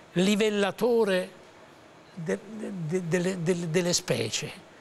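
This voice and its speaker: A man's high-pitched voice at a very slow pace, with ordinary pitch variation and light background noise. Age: 80s+. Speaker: actor and voice actor. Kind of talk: interview answer. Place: studio. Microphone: lapel.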